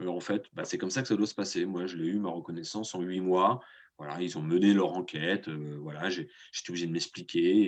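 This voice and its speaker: This man has a very deep, low pitch with ordinary variation and a fairly quick pace. The background is quiet. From France, Nantes. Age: 30s. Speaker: association vice-president, former farm worker. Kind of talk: testimony. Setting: video call webinar. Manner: halting, many hesitations.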